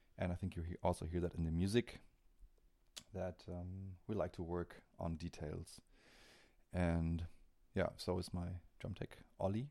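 A man's very deep, low voice with a dark, mellow tone and a German accent, fairly slow and fairly even in intonation, with long, frequent pauses. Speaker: metal drummer. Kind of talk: casual interview. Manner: halting.

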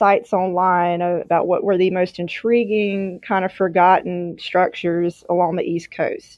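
The speaker has a Southern US accent and a fairly slow pace. The intonation is monotone and flat. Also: woman. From Mississippi. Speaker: newspaper publisher. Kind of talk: podcast interview.

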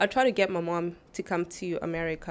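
A woman speaks in a South African accent at a moderate pace. Her intonation stays fairly even. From South Africa (Mpumalanga, near Kruger Park). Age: 20s. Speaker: church member. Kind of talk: casual interview.

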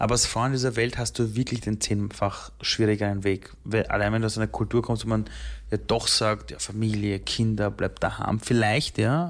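At a fairly low pitch, a man speaks in a calm tone with fairly even intonation and very even loudness. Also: moderate pace, very clean recording, silent background. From Austria, Vienna. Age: 30s. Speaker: entrepreneur and keynote speaker. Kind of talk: interview.

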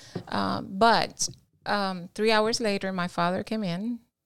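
Speaking fairly slowly in a Cuban accent, a woman with a medium-pitched voice holds a flat, monotone intonation over a very clean recording with a silent background. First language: Spanish. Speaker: guest telling her life story. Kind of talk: casual interview.

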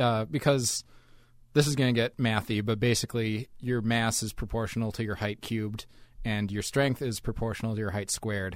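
A medium-pitched man at a fairly quick pace with fairly even intonation, on a very clean recording with a silent background. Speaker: podcast co-host, science commentator. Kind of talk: casual podcast chat.

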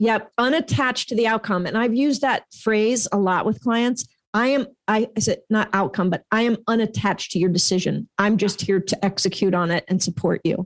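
This is a normal speaking voice from a woman at a moderate pace, with ordinary pitch variation, very even loudness and a dry, close sound with no echo. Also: fairly high pitch for a woman. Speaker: podcast co-host for real estate agents. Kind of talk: casual chat. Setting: video call. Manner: playful.

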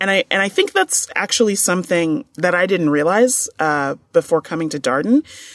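In a dry, close recording with no echo and a quiet background, a woman with an unremarkable speaking voice and a fairly low pitch speaks at a moderate pace with lively intonation. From New York, Long Island. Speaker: university administrator. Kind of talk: interview.

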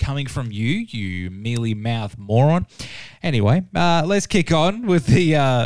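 In a very clean recording with a silent background, a man with an ordinary speaking voice and a fairly high pitch talks at a fairly slow pace. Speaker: radio host. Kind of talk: radio DJ patter. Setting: radio studio. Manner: laid-back, upbeat.

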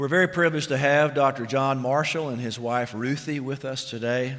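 At a moderate pace, a man speaks in an unremarkable speaking voice at a medium pitch. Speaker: pastor. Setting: church.

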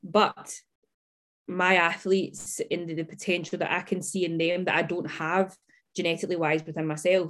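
Someone with a Scottish accent speaks at a moderate pace in a flat monotone. The recording is very clean, with a silent background. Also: woman, fairly low pitch for a woman. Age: 20s. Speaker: fitness coach. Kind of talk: casual interview chat.

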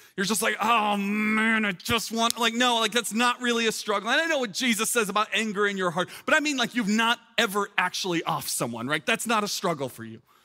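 Projecting and raised, a man's high voice comes through bright and sharp, fairly quick, with lively intonation. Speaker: pastor. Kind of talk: sermon. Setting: church with live audience, streamed online. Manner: fast; loud.

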